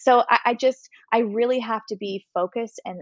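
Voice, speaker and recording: A woman at a moderate pace. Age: 30s. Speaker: fitness instructor. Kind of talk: casual chat. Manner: animated.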